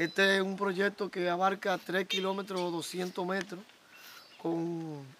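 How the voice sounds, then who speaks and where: A speaker with a Dominican accent talks at a fairly slow pace with fairly even intonation, in a dry recording with no echo and light background noise. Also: man. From Dominican Republic. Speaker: local official promoting electrification project. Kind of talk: on-site interview statement. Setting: outdoors in rural community. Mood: proud, upbeat. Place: open country.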